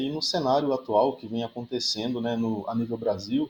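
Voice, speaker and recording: A man speaks at a moderate pace. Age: 30s. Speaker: engineering professor. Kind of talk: podcast interview. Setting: remote recording from university office. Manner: frequent hesitations.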